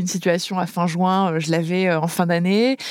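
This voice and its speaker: A woman has a normal speaking voice at a medium pitch. Her intonation is fairly even, on a very clean recording with a silent background. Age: 30s. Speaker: startup founder. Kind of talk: interview testimony.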